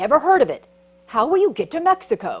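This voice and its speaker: Delivered at a fairly quick pace, this put-on character voice is high-pitched. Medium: read story.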